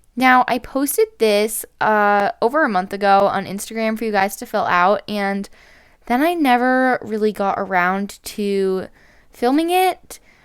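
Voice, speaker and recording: Lively intonation and a fairly slow pace come through in a very clean recording with a silent background. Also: woman, fairly high pitch for a woman. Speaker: gaming youtuber. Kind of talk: casual gaming commentary. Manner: loud; rambling conversational.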